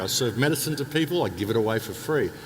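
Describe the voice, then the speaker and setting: A man talking at a very fast pace with lively intonation over noticeable background noise. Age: 60s. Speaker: alternative speaker, author and radio host. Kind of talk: interview monologue. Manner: repetitive, halting restarts.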